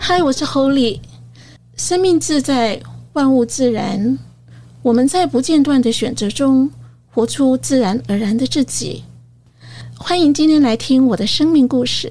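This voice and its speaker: With long, frequent pauses, a woman speaks at a fairly slow pace in a high pitch. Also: ordinary pitch variation. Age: 60s. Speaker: senior magazine editor. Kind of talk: interview.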